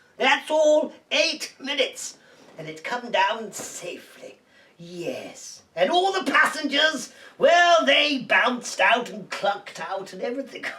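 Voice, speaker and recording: This is a put-on character voice, pitched high. It moves at a fairly slow pace. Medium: comedy sketch. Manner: giggly, chatty.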